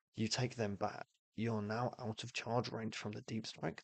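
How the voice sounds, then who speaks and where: A man at medium pitch and moderate pace, in a monotone, flat intonation. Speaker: streamer. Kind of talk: casual live-stream commentary explaining game rules. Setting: live stream. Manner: halting, many false starts.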